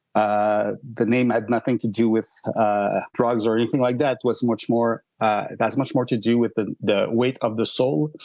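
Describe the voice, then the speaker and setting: In a Quebec accent, a man with a medium pitch and a dark, mellow tone talks at a moderate pace in a monotone, flat delivery. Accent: Québécois French accent in English. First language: French. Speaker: rock band singer and songwriter. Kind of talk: podcast interview. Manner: halting, many fillers.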